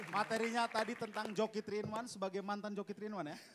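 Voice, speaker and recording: There is light background noise. Through it, a man talks. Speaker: comedy show host. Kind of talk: hosting introductions. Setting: stage with audience. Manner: jokey, banter. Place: stage. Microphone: handheld.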